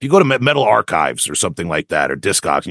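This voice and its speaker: A man with a Long Island accent talks at a very fast pace, his voice full of vocal fry and swinging very widely in pitch. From Long Island, New York. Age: 40s. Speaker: death metal vocalist and lyricist. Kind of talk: interview. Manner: halting, many repetitions and fillers.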